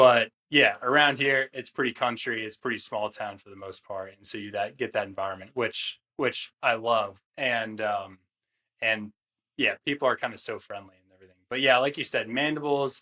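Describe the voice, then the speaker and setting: With an American accent, a man speaks at medium pitch and a moderate pace with ordinary pitch variation, a bright, sharp tone and big swings in loudness. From Northern Virginia, DC suburbs. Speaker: small business founder, ghee maker. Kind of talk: casual podcast conversation.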